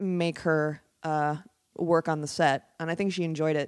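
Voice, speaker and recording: Over a very clean recording with a silent background, a woman with an American accent talks at a moderate pace and a fairly low pitch. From Wisconsin, Oshkosh. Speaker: filmmaker and storyboard artist. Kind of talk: casual chat.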